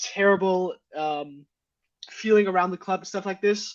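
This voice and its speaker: A Danish accent at a moderate pace. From Denmark, Aarhus. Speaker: football fan panelist. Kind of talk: casual chat.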